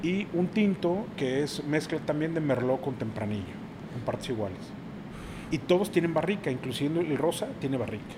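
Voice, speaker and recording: A man with an ordinary speaking voice talks at a moderate pace, his fairly high pitch carrying lively intonation. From Mexico City. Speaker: sommelier and wine and craft beer producer. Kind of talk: casual chat.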